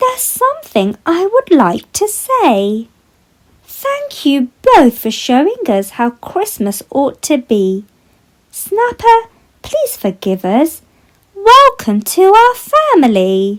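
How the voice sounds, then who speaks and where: A woman puts on a squeaky character voice at an extremely high pitch, speaking very slowly with very wide pitch swings. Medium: read story.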